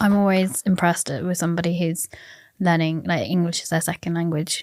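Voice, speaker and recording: On a very clean recording with a silent background, a woman talks at a fairly quick pace in a fairly low pitch with an unremarkable speaking voice. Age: 30s. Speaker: podcast host. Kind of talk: podcast interview.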